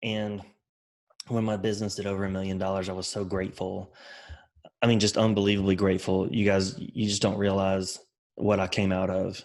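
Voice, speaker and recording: In a Southern US accent, a man talks at a fairly quick pace with a fairly low pitch and monotone, flat intonation. Long, frequent pauses break up his speech. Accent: Southern country. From US South, Mobile, Alabama and rural Mississippi. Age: 30s. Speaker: construction business owner and author. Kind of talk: podcast interview.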